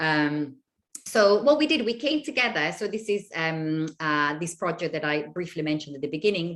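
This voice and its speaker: A woman's very deep, low voice, its pitch varying in an ordinary way, at a moderate pace over a quiet background. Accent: Italian. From Italy. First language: Italian. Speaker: university lecturer. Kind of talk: lecture. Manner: hesitant, many fillers.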